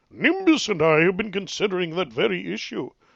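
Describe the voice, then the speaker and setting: A man uses a put-on character voice pitched high for a man. He speaks at a fairly quick pace. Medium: read story. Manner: chuckling, avuncular.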